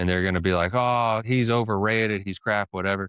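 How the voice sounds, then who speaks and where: A man with an American accent, fairly low pitch and a bright, sharp tone, talking very fast with ordinary pitch variation, the sound dry and close with no echo over a quiet background. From United States. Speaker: podcast co-host. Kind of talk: casual chat.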